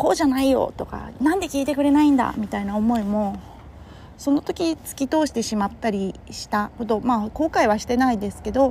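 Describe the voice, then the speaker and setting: Somewhat breathy and relaxed in tone, a woman speaks at a moderate pace with a fairly high pitch, a dark, mellow tone and ordinary pitch variation. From Kurume, Fukuoka, Japan. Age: 30s. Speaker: podcaster and entrepreneur. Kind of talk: casual solo monologue. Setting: walking outdoors in Tokyo. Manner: relaxed, conversational with many fillers.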